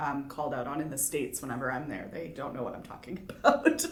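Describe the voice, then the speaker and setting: A woman speaks with a Canadian accent. Some room echo can be heard. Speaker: interviewee. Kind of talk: interview.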